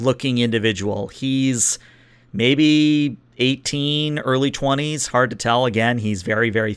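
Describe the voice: The clip has plain reading aloud, its pitch varying in an ordinary way.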